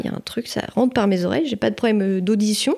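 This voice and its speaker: A woman's medium-pitched, dark, mellow voice at a fairly quick pace, on a very clean recording with a silent background. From Île-de-France, France. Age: 30s. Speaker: energy healer. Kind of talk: personal testimony interview. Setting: treatment room at her home.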